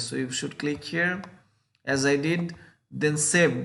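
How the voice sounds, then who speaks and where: A man with a Bengali accent speaks in a fairly high pitch, with audible room echo. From Bangladesh. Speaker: YouTuber giving scholarship advice. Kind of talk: screen-share tutorial. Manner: halting, with frequent fillers.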